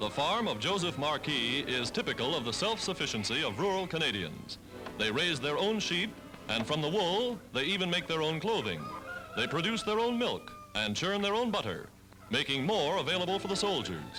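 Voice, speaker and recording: Over music in the background, a man with an American accent and a high pitch talks at a moderate pace, his pitch swinging very widely while his loudness stays very even. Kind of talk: 1940s newsreel narration. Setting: archival 1940s film recording. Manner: brisk, authoritative.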